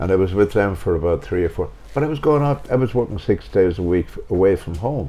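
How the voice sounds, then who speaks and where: A man with a Waterford accent, very deep and low in pitch, at a very fast pace. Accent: Waterford Irish. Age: 80s+. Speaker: retired showband pianist. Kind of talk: casual chat.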